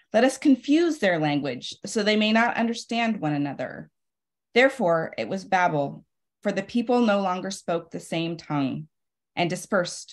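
Over a quiet background, a woman of medium pitch speaks at a moderate pace with lively intonation. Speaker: poet and literary magazine editor; poet. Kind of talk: poetry reading. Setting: video call. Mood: calm, reflective. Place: home room. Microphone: video call.

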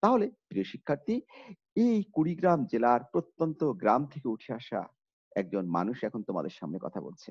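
A man speaks at a fairly high pitch with very wide pitch swings. The background is quiet. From northern Bangladesh, Kurigram; northern Bangladesh. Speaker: college teacher. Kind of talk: online lecture. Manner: formal. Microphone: webcam.

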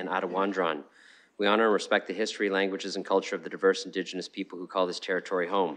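Very fast and monotone, a man speaks in a very deep, low voice with flat intonation. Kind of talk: formal meeting chairing. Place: hall.

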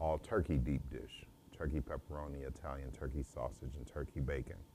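A man with an American accent, very deep and low, dark and mellow in tone, with vocal fry, fairly even intonation and light background noise. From US Midwest, St. Louis, Missouri. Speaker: home chef. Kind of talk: interview monologue, self-promotion. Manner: halting, many fillers.

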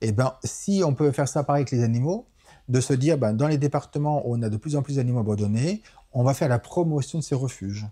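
Somewhat breathy and dark, mellow in tone, a man speaks at a medium pitch and fairly quick pace. His loudness stays very even over a quiet background. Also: ordinary pitch variation. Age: 40s. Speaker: animal rights activist. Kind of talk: interview. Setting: association offices in a city.

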